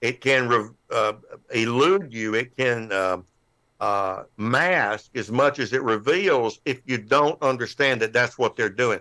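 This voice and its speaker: A man's medium-pitched voice with an American accent and a bright, sharp tone, fairly slow with ordinary pitch variation, over a quiet background. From United States. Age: 70s. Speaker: amateur radio presenter on solar forecasting. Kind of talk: technical presentation with slides. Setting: live online club show. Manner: halting, many fillers and repeats.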